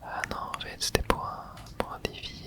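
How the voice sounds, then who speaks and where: Someone whispers in a relaxed tone at a very slow pace. Noticeable background noise is present. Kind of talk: ASMR gameplay commentary, relaxed talk to camera. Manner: soft, relaxed, casual.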